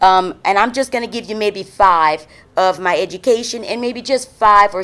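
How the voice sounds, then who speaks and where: Loud and animated, a woman with an American accent speaks at a fairly quick pace in a bright, sharp tone with ordinary pitch variation, on a very clean recording with a silent background. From Louisiana, New Iberia area. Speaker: city council member, political candidate. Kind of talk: campaign speech.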